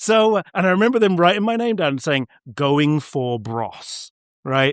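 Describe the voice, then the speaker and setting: Speaking at a moderate pace, a man with an American accent sounds animated. The sound is dry and close with no echo, in a very clean recording with a silent background. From southeast London, England. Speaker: hairdresser and cutting educator. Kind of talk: interview, personal story. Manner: animated storytelling.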